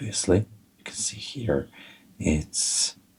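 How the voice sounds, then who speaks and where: A man talks with ordinary pitch variation. His voice is somewhat breathy. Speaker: fly tyer. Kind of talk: tutorial.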